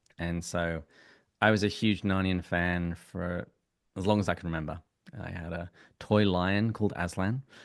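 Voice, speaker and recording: In an English accent, a man with a very deep, low pitch speaks at a moderate pace and fairly even intonation, with long, frequent pauses over a quiet background. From England. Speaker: podcast guest, software engineer and podcast host. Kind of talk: casual chat.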